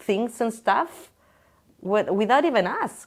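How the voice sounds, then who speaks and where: Lively in her intonation, a woman talks with a Spanish accent. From Chile. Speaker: interviewee. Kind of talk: casual interview. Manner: halting.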